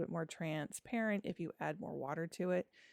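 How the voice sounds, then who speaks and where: A woman with a fairly low pitch and vocal fry talks fairly quickly, the sound dry and close with no echo. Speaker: watercolor artist and art teacher. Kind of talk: tutorial. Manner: chatty, casual.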